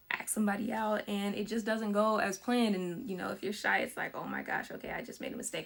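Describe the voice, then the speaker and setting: A woman talks at a very fast pace, her pitch medium and her intonation fairly even. Noticeable background noise runs behind her. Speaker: filmmaker. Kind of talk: casual talk about own film.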